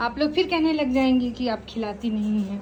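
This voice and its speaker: A woman in a normal speaking voice, at a moderate pace, with ordinary pitch variation. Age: 20s. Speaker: village vlogger, housewife. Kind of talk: casual vlog talk to camera. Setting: at home at night.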